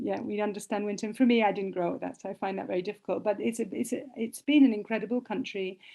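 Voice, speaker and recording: In a British accent, a woman speaks very fast at a fairly high pitch with ordinary pitch variation. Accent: British, non-Canadian. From Britain. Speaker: humanitarian lawyer and nonprofit director. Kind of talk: interview conversation.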